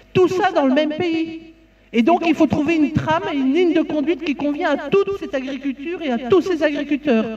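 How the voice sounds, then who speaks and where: With a Belgian accent and ordinary pitch variation, a woman talks at a fairly quick pace over noticeable background noise. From Belgium. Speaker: farmer and farm union representative. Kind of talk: conference talk. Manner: halting, many fillers and repetitions.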